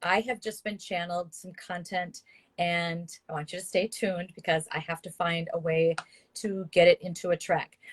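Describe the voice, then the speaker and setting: Somewhat breathy, fairly low female voice at a moderate pace, with fairly even intonation and big swings in loudness. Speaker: spiritual coach. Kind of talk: live stream talk. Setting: live video stream.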